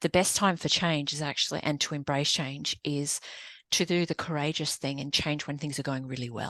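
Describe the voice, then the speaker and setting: With an Australian accent, a woman speaks at a moderate pace in a very deep, low voice with fairly even intonation over a quiet background. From Australia (Sydney). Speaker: business coach and consultant. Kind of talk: podcast interview.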